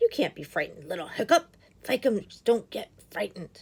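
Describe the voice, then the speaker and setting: A woman's put-on, raspy character voice, fairly high in pitch and fairly quick, with very wide pitch swings and big swings in loudness. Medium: read story. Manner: blustering, boastful.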